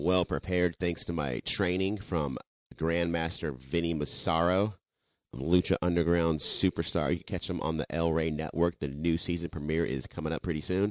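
In a very clean recording with a silent background, a man with a very deep, low voice talks at a moderate pace, the sound dry and close with no echo. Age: 40s. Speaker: podcast co-host and amateur pro wrestler. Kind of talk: casual chat. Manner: animated.

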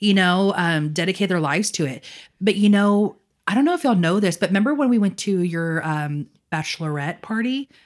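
A woman with a medium pitch speaks in a normal speaking voice at a fairly quick pace. Her intonation is lively, and the recording is very clean with a silent background. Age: 30s. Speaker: podcast co-host. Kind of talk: casual chat.

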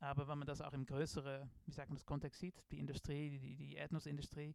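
With a Dutch accent, a man speaks at a moderate pace, his medium-pitched voice keeping a fairly even intonation. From Netherlands. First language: Dutch (speaking German). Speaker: design professor. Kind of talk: interview. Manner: halting, many filler sounds.

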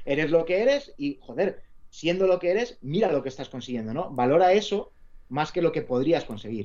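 At a moderate pace, a man with a fairly high pitch and a dark, mellow tone swings his pitch very widely. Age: 40s. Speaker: sports journalist and author. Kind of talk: casual interview. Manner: halting, repeats words.

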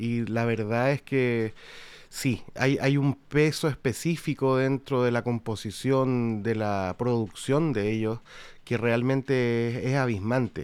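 Fairly even in intonation and medium in pitch, a man's speech moves at a very slow pace. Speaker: podcast host and musician. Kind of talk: casual chat.

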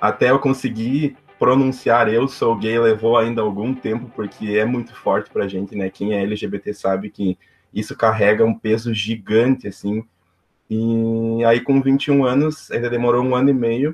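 A man's medium-pitched voice holds fairly even intonation as he goes along at a fairly slow pace. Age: 20s. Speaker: civil engineer and youth club volunteer. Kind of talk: interview. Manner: halting.

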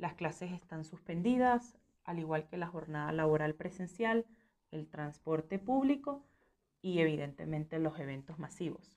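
Delivered at a fairly slow pace, this is a plain, everyday voice. The intonation is lively. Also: woman, fairly low pitch for a woman. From Venezuela. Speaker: journalist. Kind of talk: interview.

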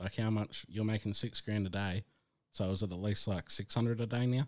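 A man with an ordinary speaking voice talks at a fairly quick pace in a fairly low pitch. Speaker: podcast co-host. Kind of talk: casual podcast chat. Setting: online call.

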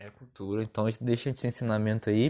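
The speaker is a man with a dark, mellow tone. His intonation is monotone and flat. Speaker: podcast host. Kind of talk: casual chat.

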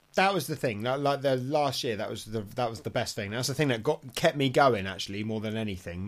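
Here a man speaks with an English accent. His pitch varies in an ordinary way. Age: 40s. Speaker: dog sport competitor. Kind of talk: casual chat.

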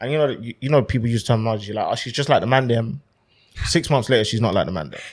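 The recording is very clean and the background silent. A man speaks very fast. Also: medium pitch for a man, ordinary pitch variation. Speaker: musician. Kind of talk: casual chat.

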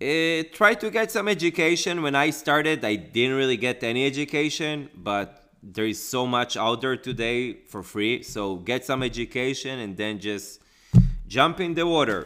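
A man's medium-pitched, bright and sharp voice at a moderate pace with very wide pitch swings, on a very clean recording with a silent background. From Israel. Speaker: real estate investor. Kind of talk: interview.

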